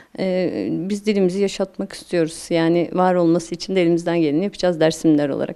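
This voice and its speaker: A woman speaks at a very fast pace with fairly even intonation and hardly any pauses. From Turkey, Dersim (Tunceli). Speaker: sociologist, women's choir member. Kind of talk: interview. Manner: halting, many fillers.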